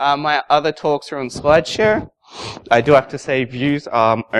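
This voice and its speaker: A man with an Australian accent at a moderate pace, with noticeable background noise. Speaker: security consultant, conference speaker. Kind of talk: conference talk. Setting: stage with audience. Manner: casual.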